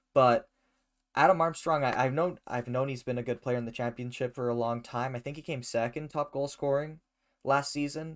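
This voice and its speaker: An unremarkable speaking voice from a man of medium pitch, with fairly even intonation, a moderate pace, and a very clean recording over a silent background. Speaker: soccer podcast host. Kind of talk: casual podcast chat.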